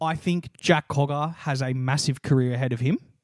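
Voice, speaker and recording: A man with an Australian accent speaks at a moderate pace. The sound is dry and close with no echo, on a very clean recording with a silent background. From Australia, New South Wales. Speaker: podcast co-host. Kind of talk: casual chat.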